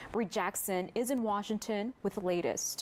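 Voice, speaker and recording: A woman with a medium pitch talks at a moderate pace in an ordinary speaking voice. Her intonation stays fairly even. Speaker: news anchor. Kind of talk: TV news anchor read. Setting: studio.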